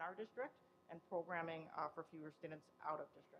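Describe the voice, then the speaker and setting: A woman at a fairly quick pace. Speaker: school special education chairperson. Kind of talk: presentation at public board meeting. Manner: loud; hesitant, many fillers.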